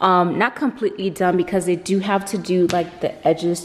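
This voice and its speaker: Speaking at a moderate pace, a woman with a fairly low voice keeps her intonation monotone and flat. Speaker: vlogger. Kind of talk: casual vlog chat. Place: home room. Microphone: phone near.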